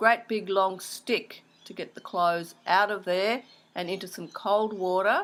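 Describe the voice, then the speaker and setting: A woman speaks with an Australian accent at a medium pitch and a moderate pace. The recording is very clean, with a silent background. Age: 60s. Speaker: interviewee recalling childhood. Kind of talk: oral history interview.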